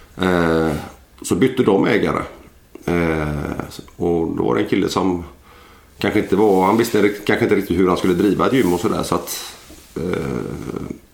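A man talks at a moderate pace with a very deep, low pitch and ordinary pitch variation. Audible room echo surrounds the voice. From Gothenburg area, western Sweden. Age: 40s. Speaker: former Olympic wrestler and personal trainer. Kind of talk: casual interview. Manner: hesitant, many filler sounds.

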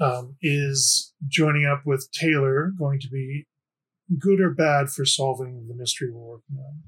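In an ordinary speaking voice, a man talks at fairly high pitch and a moderate pace, with fairly even intonation and big swings in loudness. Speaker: player. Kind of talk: tabletop roleplaying podcast.

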